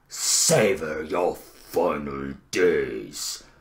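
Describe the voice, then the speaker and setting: In a put-on character voice, the speaker sounds raspy and menacing at a very slow pace. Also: man. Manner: slow, menacing.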